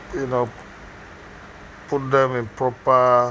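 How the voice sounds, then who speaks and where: Speaking with a Nigerian accent, a man with a medium-pitched voice has a bright, sharp tone and fairly even intonation. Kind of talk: unscripted commentary on a makeup tutorial. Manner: hesitant, unhurried.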